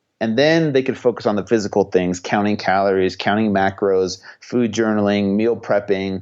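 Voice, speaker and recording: Against a quiet background, a man uses a normal speaking voice with fairly low pitch, ordinary pitch variation and a moderate pace with hardly any pauses. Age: 30s. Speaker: personal trainer. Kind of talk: interview.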